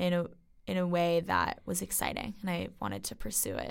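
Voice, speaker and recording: A woman on a very clean recording with a silent background. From US Northeast (Westchester, New York). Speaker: college student. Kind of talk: interview.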